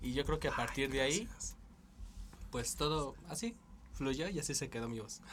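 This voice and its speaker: With vocal fry and a fairly high pitch, a man talks at a fairly quick pace in lively intonation, broken by long, frequent pauses. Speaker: podcast co-host. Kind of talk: casual chat.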